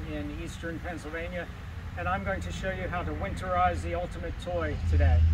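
A man is speaking. Noticeable background noise runs under his voice. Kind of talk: tutorial. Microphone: camera far.

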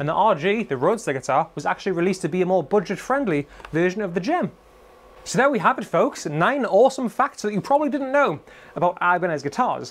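This man talks at a very fast pace in a Geordie accent, his high voice swinging very widely in pitch with an upbeat, enthusiastic tone. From Newcastle area, northern England. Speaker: guitar retailer presenter. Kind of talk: scripted-style educational video monologue. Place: shop.

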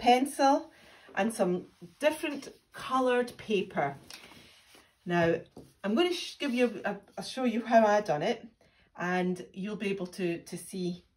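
Somewhat breathy, a woman talks at a fairly slow pace with very wide pitch swings and long, frequent pauses. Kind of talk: craft tutorial. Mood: friendly, warm. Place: home room. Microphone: phone near.

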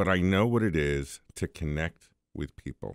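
A man's confident tone with ordinary pitch variation, dry sound with no echo, and a quiet background. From New York City. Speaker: IT business owner; guest. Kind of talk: radio interview. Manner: strong confident speaker. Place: studio. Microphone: studio mic.

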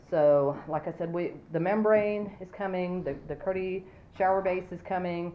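At a fairly slow pace, a woman speaks in an unremarkable speaking voice, fairly low in pitch, with fairly even intonation. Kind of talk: casual build commentary. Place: home room. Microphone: phone near.

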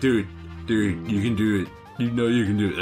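Over clear music in the background, a man drawls in a put-on character voice at a fairly low pitch. His pace is moderate. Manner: laid-back, encouraging.

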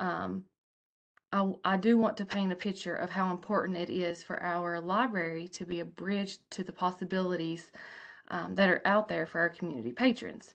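A woman speaks with an Appalachian accent at a moderate pace. Her pitch variation is ordinary, and the background is quiet. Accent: Appalachian Southern US. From Appalachian Kentucky. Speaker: public library director. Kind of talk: online conference presentation. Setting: video call. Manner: hesitant, frequent fillers. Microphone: webcam.

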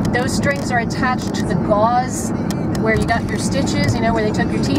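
A woman's voice comes through loud background noise. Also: dry sound with no echo. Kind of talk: casual vlog chat. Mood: groggy, playful. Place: car. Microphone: phone near.

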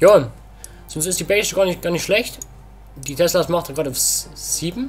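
A man speaks with a high voice. Music plays in the background. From Saxony, Germany. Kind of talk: casual gameplay commentary. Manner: quieter than usual.

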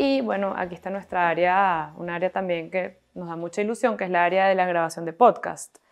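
A woman with a Venezuelan accent speaks at a fairly quick pace with hardly any pauses. Her pitch is fairly low with ordinary variation, over a quiet background. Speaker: entrepreneur, coworking space owner; guest. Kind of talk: interview.

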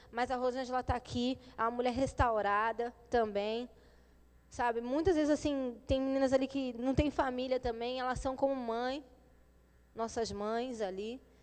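A high-pitched woman's voice at a moderate pace, with fairly even intonation. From São Paulo, moved to Rio at 12. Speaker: former drug addict, mother of three. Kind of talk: testimony. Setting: church service. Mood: earnest, emotional. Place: church. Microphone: handheld.

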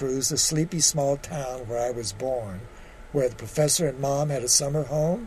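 The clip consists of plain reading aloud.

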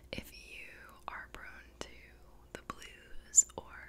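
A woman whispering at a very slow pace. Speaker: ASMR creator. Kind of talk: soft whispered ASMR chat. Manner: soft close-mic ASMR speaking. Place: home room. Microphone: studio mic.

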